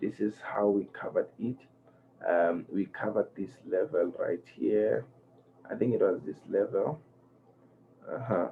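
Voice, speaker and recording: Speaking quietly at a fairly slow pace, a man leaves long, frequent pauses. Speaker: forex trading educator. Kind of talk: tutorial. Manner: low-energy, quiet; halting, many fillers.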